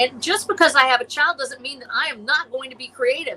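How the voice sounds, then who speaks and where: A woman speaks in a passionate tone with a raised, projected voice, at a high pitch and a fairly quick pace. Her pitch swings very widely, and there is noticeable background noise. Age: 60s. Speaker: science fiction author and illustrator. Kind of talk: podcast interview.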